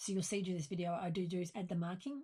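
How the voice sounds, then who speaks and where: A somewhat breathy woman with an Australian accent, talking at a very fast pace. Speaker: sewing pattern designer. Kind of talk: sewing tutorial talk to camera.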